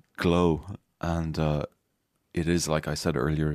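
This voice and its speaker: A man speaks in a very deep, low pitch with an Irish accent and monotone, flat intonation. The recording is very clean, with a silent background. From Ireland, Galway. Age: 50s. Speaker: singer-songwriter. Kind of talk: casual chat. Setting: studio.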